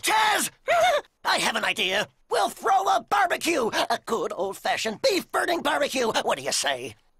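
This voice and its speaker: A high, cartoonish character voice moves along at a moderate pace. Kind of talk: cartoon comic acting. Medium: comedy sketch. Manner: pompous, gung-ho, oblivious.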